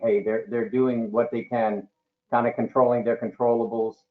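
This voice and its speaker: A man speaks in a normal speaking voice, medium in pitch, at a moderate pace with lively intonation. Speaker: duct cleaning business owner. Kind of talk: webinar panel discussion. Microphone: too far from the mic, hard to hear.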